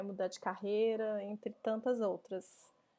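At a fairly slow pace, a woman speaks with a fairly high pitch, a dark, mellow tone and fairly even intonation. The recording is very clean, with a silent background. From Minas Gerais, Brazil (Belo Horizonte). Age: 30s. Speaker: podcast host, co-founder of a gender equality company. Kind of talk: solo podcast monologue.

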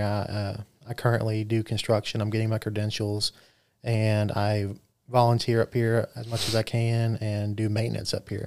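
With a Southern US accent, a man of fairly low pitch talks at a moderate pace in a monotone, flat intonation on a very clean recording with a silent background. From US South (Mobile, Alabama). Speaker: podcast co-host, construction worker. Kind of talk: casual chat.

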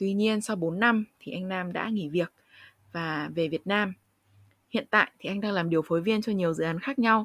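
In a dry, close recording with no echo, a woman with a normal speaking voice talks at a fairly quick pace in a medium pitch with ordinary pitch variation. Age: 20s. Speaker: podcast host, university student. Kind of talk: interview conversation.

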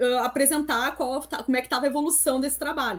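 The voice belongs to a woman and is high in pitch. The recording is very clean, with a silent background. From Brazil, interior of Rio Grande do Sul. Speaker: chemical engineer and former engineering lecturer. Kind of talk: interview.

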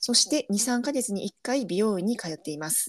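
Woman with a Kansai accent, fairly high pitch, moderate pace, dry, close sound with no echo. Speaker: podcast co-host. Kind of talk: casual chat.

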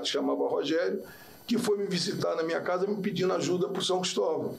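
A man with a Rio de Janeiro accent talks at a fairly quick pace, with audible room echo and noticeable background noise. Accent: Carioca Brazilian Portuguese. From Rio de Janeiro, Brazil. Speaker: football players' agent. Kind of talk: casual interview. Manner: forceful, sounds like arguing.

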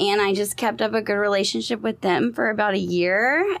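This voice, with a Texan accent, moves at a moderate pace. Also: woman. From Southeast Texas, Beaumont. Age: 30s. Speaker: social media marketer and PR business owner. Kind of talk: casual interview chat.

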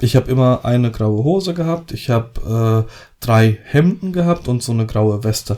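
The voice has a dark, mellow tone, moving at a moderate pace with lively intonation. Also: man, medium pitch for a man. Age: 30s. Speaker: wedding photographer and podcast co-host. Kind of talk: casual chat.

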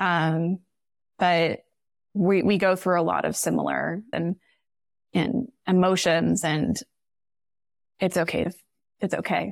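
A woman's fairly low voice with vocal fry, very even loudness, a fairly slow pace and long, frequent pauses. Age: 30s. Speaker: podcast guest, wife of a surgical resident. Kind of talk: casual chat.

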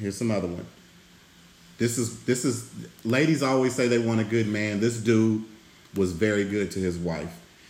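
A man with a fairly low pitch speaks at a moderate pace, using ordinary pitch variation and long, frequent pauses. Audible room echo surrounds his voice. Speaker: podcast host. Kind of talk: casual chat.

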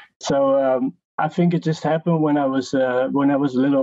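A man with a Dutch accent speaks at a moderate pace with fairly even intonation. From Netherlands, Enschede. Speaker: music producer and artist. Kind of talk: casual interview.

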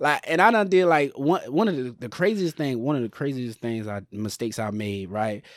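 A very clean recording against a silent background carries a voice at a moderate pace, with very wide pitch swings and hardly any pauses. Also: man, medium pitch for a man. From US South, Sumter, South Carolina. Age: 30s. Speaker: podcaster. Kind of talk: casual chat.

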